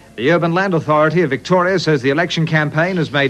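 Amid noticeable background noise, a man with fairly high pitch speaks at a very fast pace with ordinary pitch variation. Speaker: TV newsreader. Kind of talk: TV news bulletin.

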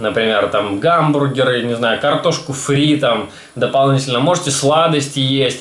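A man at a moderate pace, with audible room echo. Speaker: fitness vlogger. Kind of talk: casual vlog chat. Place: home room. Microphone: phone near.

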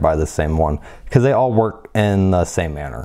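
A man with a dark, mellow tone. His pitch sits very deep and low. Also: quiet background. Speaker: product reviewer. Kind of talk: product review commentary.

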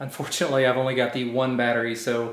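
The speech runs at a very fast pace, with audible room echo. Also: man. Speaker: vlogger. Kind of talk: casual vlog chat. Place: home room. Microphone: phone near.

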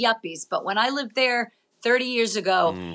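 The tone is bright and sharp, the intonation lively, and the pace moderate. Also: woman. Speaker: comedian and podcast host; comedian, podcast host. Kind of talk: casual chat. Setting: video call. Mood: animated, joking, opinionated. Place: home room. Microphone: video call.

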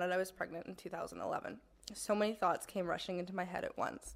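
A woman's medium-pitched voice at a fairly quick pace, in a very clean recording with a silent background. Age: 20s. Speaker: panelist, young mother with vision loss. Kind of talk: personal testimony speech. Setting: stage with microphone and audience. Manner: partly read from paper.

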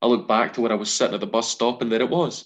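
Male speech against a quiet background. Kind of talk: storytelling monologue. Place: home room. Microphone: video call.

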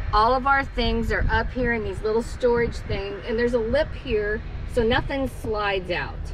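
The speech comes at a fairly slow pace, with a dry sound with no echo and light background noise. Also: woman. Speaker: travel vlogger. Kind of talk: casual vlog tour. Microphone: phone near.

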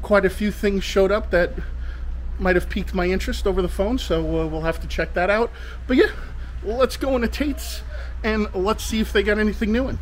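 A man is speaking at a fairly quick pace. Light background noise sits behind him. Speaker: toy hunting vlogger. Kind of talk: casual vlog chat. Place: street. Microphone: phone near.

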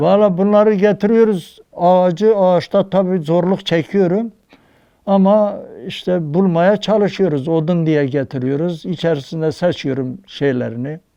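A man with a high pitch and a dark, mellow tone talks at a fairly slow pace with ordinary pitch variation. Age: 80s+. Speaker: wood carver. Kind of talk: interview answer.

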